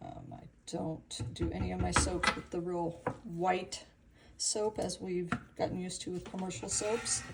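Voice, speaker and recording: A woman speaks at a fairly slow pace, with big swings in loudness. Noticeable background noise sits behind her. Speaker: soap maker. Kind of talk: tutorial.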